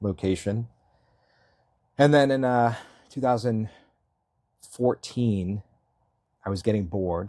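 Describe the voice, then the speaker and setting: On a very clean recording with a silent background, a man with an American accent speaks in a dark, mellow tone with fairly even intonation. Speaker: Marine veteran and local election candidate. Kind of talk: interview. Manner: halting, many fillers and restarts.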